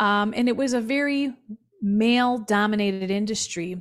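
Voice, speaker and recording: A woman talks in an ordinary speaking voice with an American accent and a medium pitch. Her pace is fairly slow with ordinary pitch variation, on a very clean recording with a silent background. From Milwaukee, Wisconsin (South Side). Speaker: business owner. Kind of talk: interview testimony.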